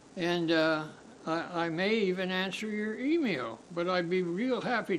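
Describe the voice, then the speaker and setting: Amid noticeable background noise and audible room echo, a man speaks at a high pitch and fairly slow pace with ordinary pitch variation. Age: 80s+. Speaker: podcast host. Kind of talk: casual monologue. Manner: halting.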